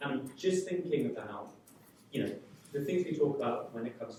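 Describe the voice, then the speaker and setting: The speech moves at a very fast pace. Audible room echo and noticeable background noise are present. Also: man. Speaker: audience member. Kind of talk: audience question. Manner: soft-spoken.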